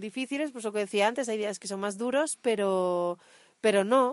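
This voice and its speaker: The voice carries ordinary pitch variation over a quiet background. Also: woman. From Asturias, northern Spain. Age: 30s. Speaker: cycle tourist podcast co-host. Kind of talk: casual chat. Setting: outdoors.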